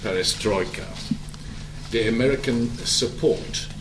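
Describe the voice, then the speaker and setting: Fairly slow male speech in a German accent, with noticeable background noise and audible room echo. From Germany. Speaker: diplomat. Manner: halting.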